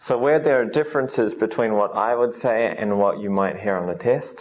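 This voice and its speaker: A man speaks with a New Zealand accent. His pace is moderate. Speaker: English teacher. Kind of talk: lecture. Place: classroom. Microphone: camera far.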